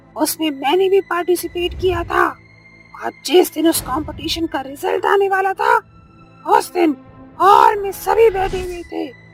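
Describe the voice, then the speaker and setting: Using a put-on character voice at an extremely high pitch, a woman speaks at a moderate pace over faint music in the background. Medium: read story. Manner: cackling, menacing.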